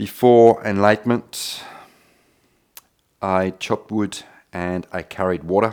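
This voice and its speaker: Speaking at a fairly slow pace with long, frequent pauses, a man uses fairly even intonation and a fairly low pitch. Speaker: yoga teacher. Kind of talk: yoga class instruction. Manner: calm, soft-spoken, reflective.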